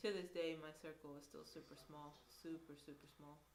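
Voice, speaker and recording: A woman speaks at a moderate pace in a fairly low, flat monotone, with audible room echo and noticeable background noise. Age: 20s. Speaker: vlogger. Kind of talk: casual chat.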